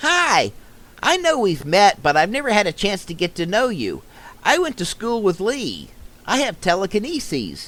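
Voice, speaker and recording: A put-on character voice sits fairly high in pitch and swings very widely up and down. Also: moderate pace. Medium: audio drama. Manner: warm, open.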